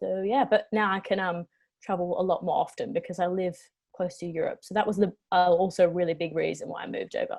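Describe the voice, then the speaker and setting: Speaking at a very fast pace, a woman sounds somewhat breathy, with fairly even intonation. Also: medium pitch for a woman. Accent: Australian. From Western Australia (Perth). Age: 20s. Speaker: travel vlogger. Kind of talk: casual interview chat.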